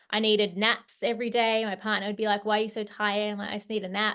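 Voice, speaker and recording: With an Australian accent, a woman talks at a fairly quick pace in a fairly high pitch. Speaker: hormone health coach. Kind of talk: online workshop presentation. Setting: video call. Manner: hesitant, many fillers.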